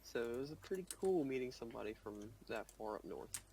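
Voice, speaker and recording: An American accent carries very wide pitch swings and a somewhat breathy quality. The pace is moderate. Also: man. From US South. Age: young. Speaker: student gamer. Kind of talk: casual chat.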